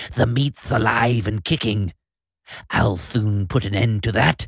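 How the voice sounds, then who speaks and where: Putting on a character voice, a man speaks at a fairly slow pace and fairly low pitch, sounding creaky and hissing. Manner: menacing, gloating.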